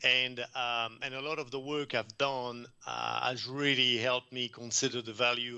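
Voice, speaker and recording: Speaking with a French accent, a man uses a bright, sharp tone and monotone, flat intonation. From France. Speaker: environmental consultant presenter. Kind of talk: conference presentation. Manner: hesitant, many fillers.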